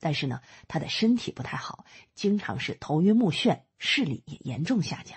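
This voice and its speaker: A woman speaks with a warm tone, somewhat breathy, at a moderate pace. Her pitch is fairly low and swings very widely. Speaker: audiobook narrator. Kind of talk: audiobook-style narration summarizing a history book, explanatory and storytelling. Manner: steady, measured, explanatory storyteller pace; conversational asides with fillers like 呢 and 啊, warm and instructive.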